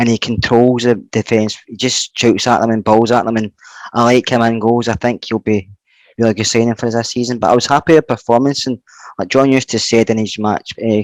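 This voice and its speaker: A man with a Scottish accent talks at a fairly quick pace and a medium pitch, his intonation monotone and flat. The sound is dry and close with no echo, and the recording is very clean with a silent background. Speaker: football podcast panelist. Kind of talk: casual chat. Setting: at home on a settee. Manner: fast.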